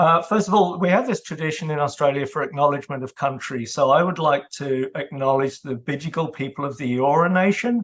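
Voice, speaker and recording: Speaking at a fairly quick pace with hardly any pauses, a man with a British accent has a fairly high pitch for a man. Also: ordinary pitch variation. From UK. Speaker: author and data governance consultant. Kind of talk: presentation. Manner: hesitant with fillers.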